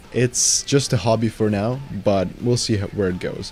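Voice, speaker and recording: With music in the background, a man with a Ukrainian accent talks at a moderate pace, his pitch fairly low and his intonation fairly even. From Ukraine. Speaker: YouTuber, metal music reviewer. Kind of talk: Q&A answering viewer questions. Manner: casual, some hesitations.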